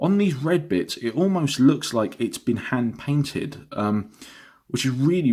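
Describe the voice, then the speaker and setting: Speaking with an English accent, a man talks at a medium pitch with lively intonation. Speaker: vinyl record reviewer. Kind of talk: product review vlog. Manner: halting, many fillers.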